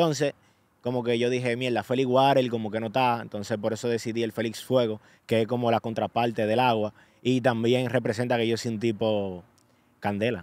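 Speaking at a fairly quick pace, a man keeps a monotone, flat intonation. The sound is dry, with no echo. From Dominican Republic, Santo Domingo; Dominican Republic. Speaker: social media influencer. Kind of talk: casual interview. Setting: New York. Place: open country. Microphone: studio mic.

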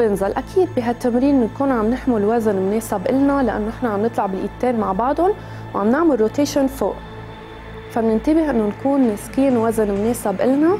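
A woman at a fairly quick pace with ordinary pitch variation and very even loudness, clear music in the background. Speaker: fitness trainer. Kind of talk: workout tutorial instruction. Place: studio.

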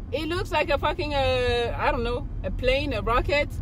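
Over noticeable background noise, a woman speaks at a fairly slow pace in a dry recording with no echo. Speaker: car reviewer. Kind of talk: casual vlog chat. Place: car. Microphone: phone near.

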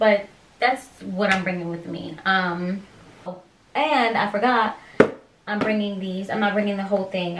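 With an American accent, a woman talks at medium pitch and a moderate pace, her intonation fairly even, her long pauses frequent, and noticeable background noise around her. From Pennsylvania. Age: 20s. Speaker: YouTuber, expectant mother. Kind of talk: casual vlog. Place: home room. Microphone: camera far.

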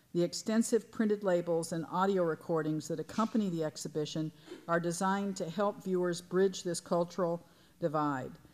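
Speaking fairly quickly, a woman uses a fairly low pitch with ordinary pitch variation. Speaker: museum director. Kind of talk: welcome speech at a symposium. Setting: lecture hall with audience. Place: hall. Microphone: podium.

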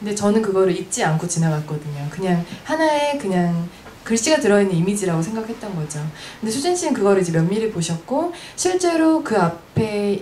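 Very wide pitch swings mark a woman's medium-pitched voice over light background noise. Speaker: event organizer and moderator; moderator. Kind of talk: moderated panel discussion. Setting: live event with audience. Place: shop. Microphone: handheld.

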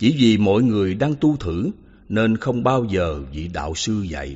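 Speaking at a very slow pace, a man with a medium pitch makes very wide pitch swings. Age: 80s+. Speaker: Buddhist monk teacher. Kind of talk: reading aloud.

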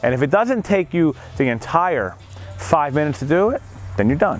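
Faint music plays in the background. The speech comes at a very fast pace. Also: man, dry sound with no echo. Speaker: gym coach. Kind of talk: tutorial. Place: gym. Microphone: lapel.

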